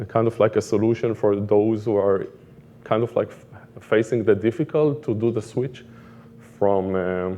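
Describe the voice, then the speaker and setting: A man with an Israeli accent, fairly low pitch and dark, mellow tone, at a moderate pace with ordinary pitch variation. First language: Hebrew. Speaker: product manager. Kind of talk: conference talk.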